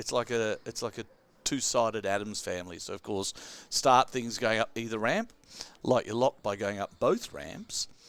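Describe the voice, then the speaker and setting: A man speaks with an Australian accent. His voice sits at a medium pitch. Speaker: pinball commentator. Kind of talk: live commentary.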